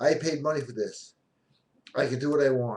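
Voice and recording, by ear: A man does a put-on character voice that is whiny and nasal, fairly high in pitch. He keeps a moderate pace and fairly even intonation.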